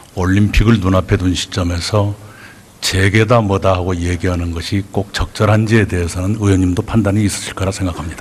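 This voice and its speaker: Monotone, flat intonation at a fairly quick pace, amid noticeable background noise. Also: man, very deep, low pitch for a man. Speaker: prime minister. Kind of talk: parliamentary interpellation answer.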